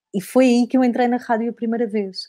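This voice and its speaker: A woman's fairly high voice with a dark, mellow tone, at a moderate pace, in a dry, close sound with no echo. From Portugal, Algarve. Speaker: radio broadcaster. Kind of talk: interview answer, personal anecdote. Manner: casual, conversational, lively.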